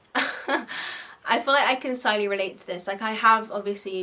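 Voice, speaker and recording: A woman's medium-pitched voice, bright and sharp in tone, at a moderate pace with a strong Bristol accent. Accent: Bristolian, strong. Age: 20s. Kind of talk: casual advice vlog. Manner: animated.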